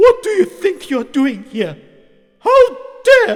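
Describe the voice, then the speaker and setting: A man's shouted, squeaky put-on character voice at an extremely high pitch and a fairly slow pace. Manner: stern, shouting.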